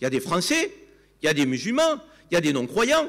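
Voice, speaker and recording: Here a man speaks with very wide pitch swings. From Provence, southern France (Avignon). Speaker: TV commentator. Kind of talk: panel debate. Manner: animated.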